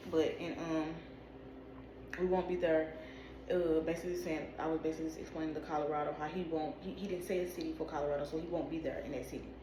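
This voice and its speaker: A woman's very deep, low voice at a very fast pace, monotone and flat, with audible room echo and noticeable background noise. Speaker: video creator interpreting dreams. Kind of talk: casual spiritual monologue to camera.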